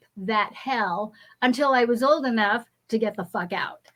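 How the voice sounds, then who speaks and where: Speaking with an American accent, a woman's voice rises to a high pitch. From California, US. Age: 60s. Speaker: spiritual teacher and energy healer. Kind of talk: interview.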